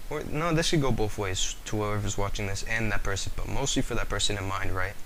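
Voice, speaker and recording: Fairly quick speech from a man, noticeable background noise behind it. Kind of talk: casual talk to camera. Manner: hesitant, stuttering.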